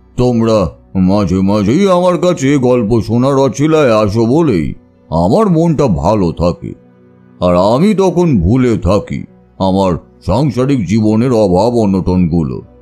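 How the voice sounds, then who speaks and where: With faint music in the background, a man puts on a character voice at a medium pitch, speaking fairly slowly with very wide pitch swings and very even loudness. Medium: audio drama. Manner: slow, reflective.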